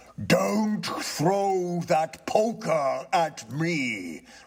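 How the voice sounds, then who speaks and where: A man puts on a character voice. It sits high in pitch for him. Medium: read story. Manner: solemn, prosy.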